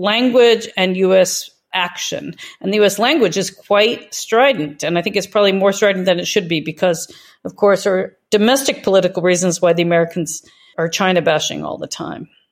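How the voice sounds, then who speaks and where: Here a woman talks in a plain, everyday voice, medium in pitch with ordinary pitch variation. Her moderate pace comes through a very clean recording with a silent background. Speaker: think tank director. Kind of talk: interview.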